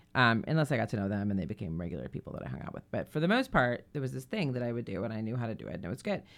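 A woman speaks at a very fast pace with hardly any pauses. Her very deep, low pitch shows vocal fry and very wide pitch swings. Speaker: radio host. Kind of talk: casual chat.

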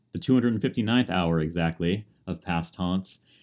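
Recorded very cleanly against a silent background, a man speaks in a very deep, low pitch. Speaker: radio host. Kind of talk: radio DJ patter, station ID and song back-announcing. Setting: radio studio broadcast. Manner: smooth, friendly, measured; informative, conversational, music-nerd enthusiasm.

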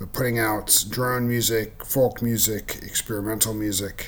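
The speaker talks at a fairly slow pace in a relaxed tone. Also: man. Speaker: radio host. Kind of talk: radio DJ patter between tracks. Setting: radio station broadcast. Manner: relaxed, unhurried; halting, filler-heavy (um, uh).

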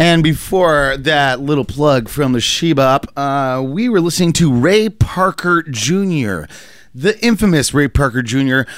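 This man has a normal speaking voice, fairly high in pitch, with lively intonation. He speaks at a fairly slow pace. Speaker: radio host. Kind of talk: casual radio banter. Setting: radio studio.

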